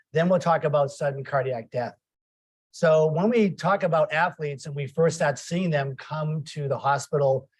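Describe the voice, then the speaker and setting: A man's somewhat breathy voice, fairly high in pitch, with ordinary pitch variation at a moderate pace. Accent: slight Boston. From Boston, US. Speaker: cardiac ultrasonography program director, lecturer. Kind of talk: lecture.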